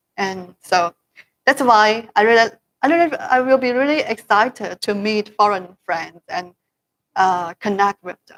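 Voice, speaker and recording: A woman's fairly high voice with lively intonation, big swings in loudness, and a fairly slow pace, in a dry, close sound with no echo. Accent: Chinese. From China. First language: Chinese. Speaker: promoter of products to overseas customers. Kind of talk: casual chat. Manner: halting.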